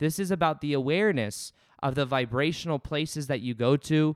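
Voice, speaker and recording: A man speaks with ordinary pitch variation in a very clean, dry, close recording with no echo and a silent background. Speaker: podcast host. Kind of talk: solo monologue on spirituality.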